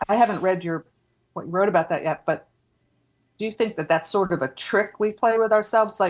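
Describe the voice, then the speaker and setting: A woman with a Philadelphia accent and medium pitch talks at a fairly quick pace with ordinary pitch variation, though she makes long, frequent pauses. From Philadelphia area, US. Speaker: podcast co-host, horror writer and editor. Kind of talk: casual chat.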